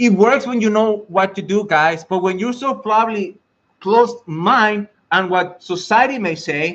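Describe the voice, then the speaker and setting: A man with a strong Mexican accent speaks at a fairly slow pace and a high pitch, with an animated tone and ordinary pitch variation. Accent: thick Mexican Spanish. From Mexico. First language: Spanish. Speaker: IT career coach and network engineer. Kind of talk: live stream talk to viewers. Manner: halting.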